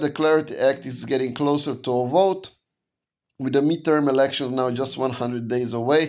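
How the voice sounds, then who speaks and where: A man with a non-native accent speaks fairly quickly at a fairly high pitch, with ordinary pitch variation. The background is quiet. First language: not English. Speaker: crypto news YouTuber. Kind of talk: casual market news update. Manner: conversational with fillers and self-corrections.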